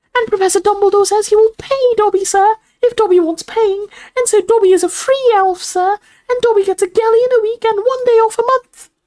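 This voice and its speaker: An extremely high-pitched put-on character voice moves along at a fairly quick pace. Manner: servile, eager.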